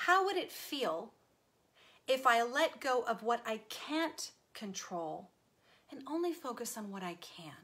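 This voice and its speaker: A woman with an American accent speaks at a fairly slow pace in a high pitch, her tone both warm and bright and sharp, with very wide pitch swings, big swings in loudness, and long, frequent pauses. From Texas. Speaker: self-help video host. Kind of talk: live-stream talk to viewers. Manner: warm, conversational. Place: home room. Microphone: webcam.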